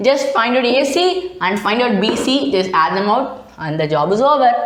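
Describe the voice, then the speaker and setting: A woman's fairly high voice moves through very wide pitch swings, with noticeable background noise and audible room echo. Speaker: math tutor. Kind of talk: tutorial. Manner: halting.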